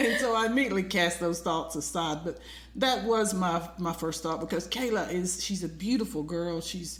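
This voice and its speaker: Over noticeable background noise and audible room echo, a woman with a fairly low pitch speaks at a moderate pace with ordinary pitch variation. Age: 60s. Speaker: podcast co-host. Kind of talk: casual chat.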